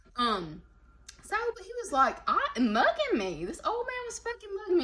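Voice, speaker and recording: Her fairly slow, animated delivery swings very widely in pitch. There is noticeable background noise behind this woman. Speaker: tarot reader. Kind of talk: casual chat. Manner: informal slangy speech.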